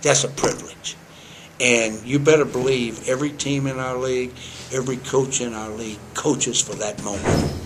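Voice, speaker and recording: Background noise is clearly audible and the room gives an audible echo. The speech moves at a moderate pace with a fairly even intonation. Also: man, medium pitch for a man. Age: 60s. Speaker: college basketball head coach. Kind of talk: interview. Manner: halting, repeats words.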